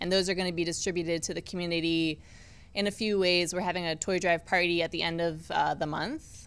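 Marked by vocal fry, the voice runs at a very fast pace with fairly even intonation. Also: woman. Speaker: team community relations staffer; guest. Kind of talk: casual interview. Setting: studio in arena. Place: studio. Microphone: studio mic.

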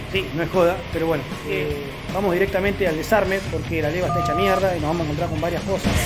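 A man is speaking. There is clear music in the background. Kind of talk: tutorial. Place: workshop. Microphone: phone near.

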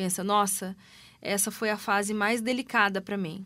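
Her tone is bright and sharp as a woman speaks at a medium pitch. She keeps a moderate pace. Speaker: radio host. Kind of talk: radio interview. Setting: radio studio.

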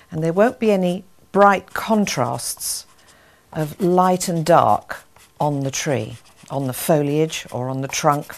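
Her voice is very deep and low, with lively intonation. The woman speaks at a very slow pace. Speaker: art instructor. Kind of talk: tutorial. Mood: warm, encouraging. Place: studio.

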